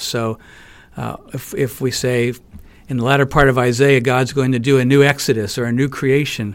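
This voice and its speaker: At a moderate pace, a man with a plain, everyday voice speaks at a medium pitch with fairly even intonation. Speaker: professor and author. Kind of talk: interview. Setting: studio.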